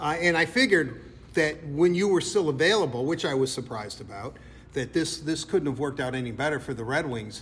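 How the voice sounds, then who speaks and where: A fairly high-pitched man with lively intonation and a fairly quick pace. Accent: American. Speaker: sports podcast interviewer. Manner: playful, chatty.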